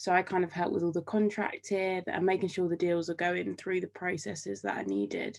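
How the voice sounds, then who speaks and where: In a British accent, a woman speaks at a fairly quick pace with hardly any pauses. Her loudness stays very even. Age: 20s. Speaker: degree apprentice. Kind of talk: casual interview. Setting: video call.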